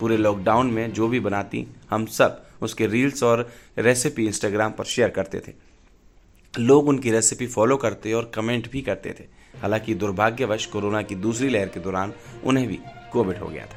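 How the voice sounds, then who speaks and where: On a very clean recording with a silent background, a man speaks in a normal speaking voice at a medium pitch, with fairly even intonation and big swings in loudness. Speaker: news narrator. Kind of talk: news report narration.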